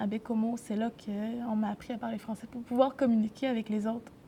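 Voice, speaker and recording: A woman's fairly high, dark and mellow voice at a moderate pace, with fairly even intonation. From Quebec, grew up in a city. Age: 20s. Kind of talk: interview testimony. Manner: halting, many hesitations.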